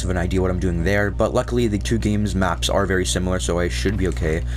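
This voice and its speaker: A man talking very fast with very wide pitch swings, audible room echo and noticeable background noise. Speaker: gaming commentator. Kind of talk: let's play commentary. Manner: stuttering, hesitant; casual, filler-heavy.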